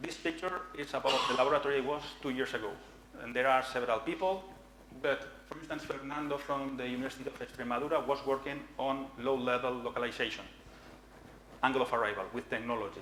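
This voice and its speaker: Noticeable background noise and audible room echo surround the recording. A man talks at a very fast pace and a medium pitch. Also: ordinary pitch variation. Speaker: researcher presenting at a conference. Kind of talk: conference talk.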